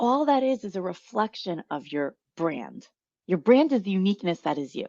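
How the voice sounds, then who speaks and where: With an American accent, a woman speaks at a medium pitch in a dark, mellow tone with very wide pitch swings, the sound dry and close with no echo. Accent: New York accent, slightly tempered. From New York. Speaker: marketing strategy consultant. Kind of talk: interview. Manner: fast-talking.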